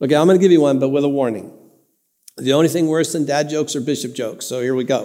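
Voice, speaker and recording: In an American accent, a man with a fairly high pitch and a dark, mellow tone speaks very fast with fairly even intonation, and the room echo is audible. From Southern California (Santa Ana). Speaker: bishop, guest preacher. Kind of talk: sermon.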